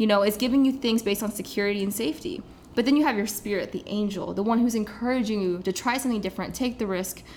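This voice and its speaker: Somewhat breathy and fairly high in pitch, a woman with an American accent speaks at a very fast pace with ordinary pitch variation. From US Midwest, Kansas City. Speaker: life coach. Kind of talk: casual interview.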